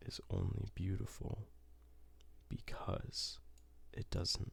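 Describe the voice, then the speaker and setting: A man whispers at a very slow pace. His voice stays soft-spoken. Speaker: ASMR creator. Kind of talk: ASMR gaming ramble. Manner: whispered, soft-spoken.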